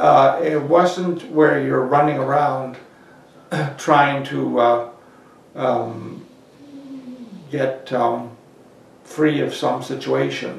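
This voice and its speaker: Someone with a Canadian Maritime accent speaks very slowly, with long, frequent pauses. The room echoes audibly over light background noise. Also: man. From Prince Edward Island, Canada. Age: 70s. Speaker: oral history interviewee. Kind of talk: oral history interview answer. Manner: hesitant, halting. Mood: reflective, hesitant. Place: office.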